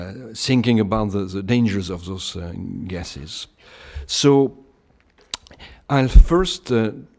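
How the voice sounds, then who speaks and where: Speaking very slowly with a French accent, a man uses a fairly low pitch, lively intonation, big swings in loudness, and long, frequent pauses. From France, Bordeaux region. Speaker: climate scientist. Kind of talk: lecture. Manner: halting, many hesitations.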